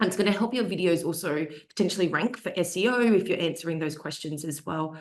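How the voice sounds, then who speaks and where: Very fast speech in an Australian accent with ordinary pitch variation. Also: woman, fairly low pitch for a woman. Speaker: social media marketing expert, panelist. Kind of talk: webinar panel discussion. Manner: casual, with frequent fillers.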